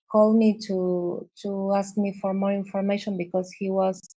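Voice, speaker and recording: Speaking with an Argentine accent, a woman has a medium pitch and a dark, mellow tone. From Argentina. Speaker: visual artist. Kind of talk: interview. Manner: halting, many fillers and repeats.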